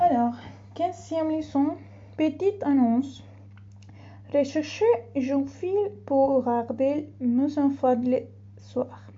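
A woman at a very slow pace with long, frequent pauses. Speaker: language learner. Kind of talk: reading aloud. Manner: halting.

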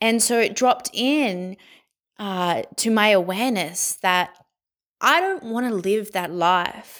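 On a very clean recording with a silent background, a woman with an Australian accent speaks at medium pitch with ordinary pitch variation. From Sydney, Australia. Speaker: guest sharing mental health story. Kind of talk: personal testimony.

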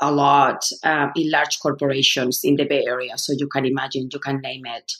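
A woman speaks with a Spanish accent. Her pitch is very deep and low. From Spain. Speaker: human resources consultant and leadership coach. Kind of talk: podcast interview.

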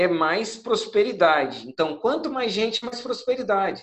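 A man speaks at an extremely high pitch, his voice swinging very widely up and down. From Viana, Espírito Santo, Brazil. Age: 30s. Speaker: entrepreneur. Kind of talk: online group chat talk.

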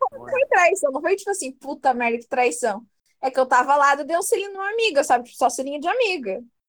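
This voice speaks at a very fast pace. Its pitch swings very widely. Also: woman, high pitch for a woman. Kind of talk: casual chat.

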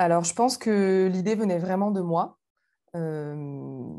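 The recording is very clean, and the background is silent. Her tone, a woman's, is dark and mellow. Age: 20s. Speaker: former student. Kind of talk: interview.

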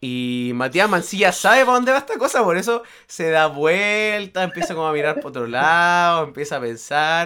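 This very clean recording with a silent background has a man speaking at a moderate pace with hardly any pauses. His high, bright, sharp voice makes very wide pitch swings. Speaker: podcast host. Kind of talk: casual chat.

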